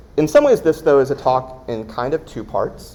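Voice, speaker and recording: A man talks at a moderate pace amid noticeable background noise. Very wide pitch swings mark his delivery. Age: 40s. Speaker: designer / creative director. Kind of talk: lecture. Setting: classroom talk with live audience, no mic. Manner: hesitant, many fillers. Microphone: recorded through laptop, no mic.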